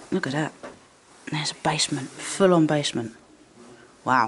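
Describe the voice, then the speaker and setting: The speech moves at a moderate pace. Light background noise sits underneath. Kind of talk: casual vlog chat. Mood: curious, slightly tense. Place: empty room. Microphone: phone near.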